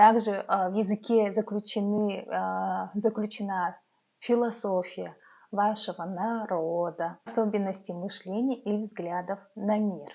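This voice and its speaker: Very slowly, a woman speaks at a medium pitch with fairly even intonation. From Yakutia, Russia (Yakutsk). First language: Yakut (Sakha) (speaking Russian). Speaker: vlogger, mother. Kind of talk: talking-head vlog. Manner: hesitant, many filler sounds.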